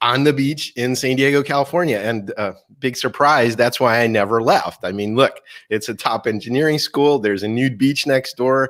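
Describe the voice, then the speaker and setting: An unremarkable speaking voice, this man talks at medium pitch and a moderate pace with fairly even intonation. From Russia (Moscow), moved to US at eight. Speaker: keynote speaker and marketing author. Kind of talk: interview.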